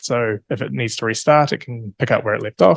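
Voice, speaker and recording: The sound is dry and close with no echo, carrying lively intonation at a moderate pace. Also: man. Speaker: researcher presenting a software platform. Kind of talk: conference talk. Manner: hesitant, many fillers.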